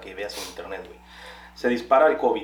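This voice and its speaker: Against noticeable background noise and audible room echo, a man speaks with a Mexican accent. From Guanajuato, Mexico. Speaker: podcast co-host. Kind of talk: casual chat.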